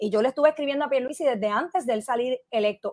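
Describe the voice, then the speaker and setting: A woman talks with ordinary pitch variation over a quiet background. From Puerto Rico and US mainland. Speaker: political commentator. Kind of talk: interview. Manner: halting. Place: home room. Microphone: earbuds.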